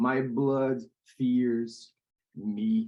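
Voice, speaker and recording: The speaker is a man with a Portuguese accent. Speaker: poet. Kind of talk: poetry reading.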